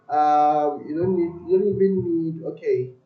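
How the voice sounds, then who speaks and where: High-pitched man at a fairly slow pace, with audible room echo. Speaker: coding tutor / software developer. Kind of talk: live-stream coding tutorial. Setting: live stream. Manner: loud; halting.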